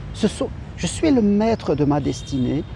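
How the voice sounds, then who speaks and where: A man speaks with very wide pitch swings over noticeable background noise. The sound is dry, with no echo. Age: 50s. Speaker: life coach. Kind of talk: motivational talk. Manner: hesitant. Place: garden. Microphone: phone near.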